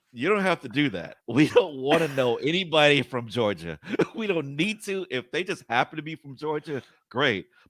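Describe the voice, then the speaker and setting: An American man speaks at a medium pitch and moderate pace, with very wide pitch swings and vocal fry. The sound is dry and close, without echo. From Jacksonville, Florida. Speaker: podcast co-host. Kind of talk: casual chat.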